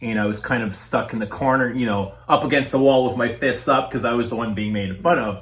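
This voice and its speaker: The speech moves at a fairly quick pace with hardly any pauses and ordinary pitch variation. Audible room echo surrounds it. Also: man, medium pitch for a man. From Toronto, Canada. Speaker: fragrance reviewer and tool and die maker. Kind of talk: interview. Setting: at his home.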